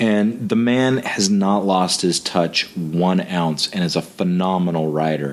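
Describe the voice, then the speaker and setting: A man with an American accent, very deep and low in pitch, at a fairly slow pace over noticeable background noise. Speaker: podcast host. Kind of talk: casual interview.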